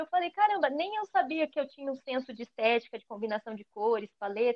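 Her intonation rises and falls in a lively way. The woman keeps to a moderate speed. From São Paulo, East Zone (Cidade Tiradentes). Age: 20s. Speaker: visual artist and singer. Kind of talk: casual chat.

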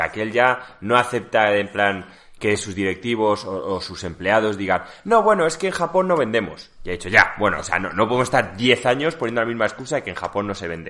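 Over a quiet background, a man with a fairly low pitch and a bright, sharp tone talks at a fairly quick pace with lively intonation and hardly any pauses. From Seville, Spain. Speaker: podcast co-host. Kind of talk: casual chat.

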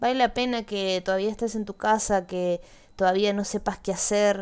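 The recording is very clean, its background silent. It has an unremarkable speaking voice at a moderate pace, with fairly even intonation. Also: woman. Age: 20s. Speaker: podcast host. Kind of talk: personal monologue.

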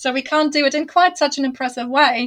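A woman speaks at a high pitch in a warm tone. The background is quiet. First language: not English. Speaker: fantasy author. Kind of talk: casual interview. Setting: remote call across time zones. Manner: warm, laughs often.

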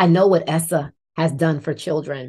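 A woman's normal speaking voice, fairly low and fairly quick, with an American accent and ordinary pitch variation. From New Jersey, Irvington near Newark. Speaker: education advocacy CEO, former science teacher. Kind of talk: interview.

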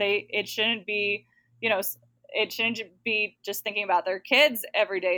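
A woman's bright, sharp voice in an American accent, dry and close with no echo, at a moderate pace with fairly even intonation. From Texas, Dallas-Fort Worth area. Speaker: bilingual educator. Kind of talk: interview.

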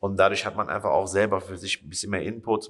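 A man's fairly low voice with a bright, sharp tone at a very fast pace. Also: quiet background. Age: 20s. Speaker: personal trainer. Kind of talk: casual chat. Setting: small fitness studio room.

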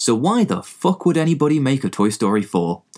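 On a very clean recording with a silent background, a man with an English accent talks at a fairly quick pace, his pitch swinging very widely. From England. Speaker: movie blogger and podcaster. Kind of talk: casual sweary movie review podcast. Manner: casual, irreverent, sweary.

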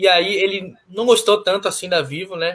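The man here speaks at a fairly quick pace. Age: 20s. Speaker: sports show co-host. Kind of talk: live show discussion. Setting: at home.

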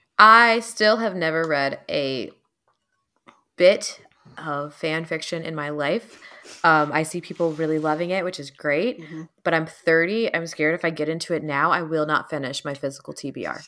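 Speaking at a moderate pace, a woman with a fairly low pitch and a bright, sharp tone uses ordinary pitch variation. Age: 30s. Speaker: podcast co-host. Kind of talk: casual chat.

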